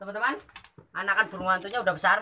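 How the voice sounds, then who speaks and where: Against a quiet background, a man's bright, sharp tone carries fairly even intonation. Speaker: wildlife vlogger. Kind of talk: casual vlog chat. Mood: calm, gentle. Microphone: phone near.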